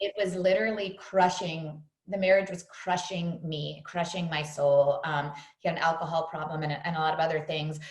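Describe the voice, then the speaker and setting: A woman with an American accent speaks at a moderate pace and a fairly low pitch. Her intonation is fairly even, and audible room echo surrounds her. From US Northeast, New York City. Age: 40s. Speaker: fitness trainer. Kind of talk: podcast interview.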